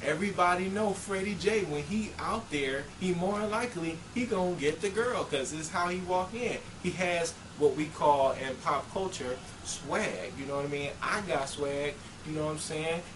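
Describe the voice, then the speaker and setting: A man with a high voice, ordinary pitch variation and a moderate pace, with audible room echo and noticeable background noise. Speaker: dating advice vlogger. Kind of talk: casual monologue. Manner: animated.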